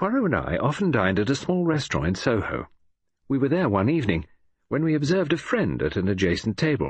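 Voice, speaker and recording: A man talks at a very fast pace and medium pitch with very wide pitch swings and vocal fry. The background is quiet. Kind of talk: audiobook reading, literary narration. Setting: audiobook recording. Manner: measured, formal British storyteller pace.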